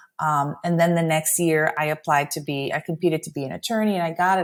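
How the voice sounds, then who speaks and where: On a very clean recording with a silent background, a woman with a Spanish accent talks at a fairly quick pace in a fairly low pitch. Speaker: immigration attorney. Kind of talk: interview conversation. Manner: animated.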